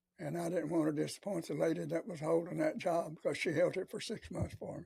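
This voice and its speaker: Speaking at a very fast pace, a man uses a high pitch with ordinary pitch variation. His tone is dark and mellow. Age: 80s+. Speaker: retired military and government worker. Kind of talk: interview answer.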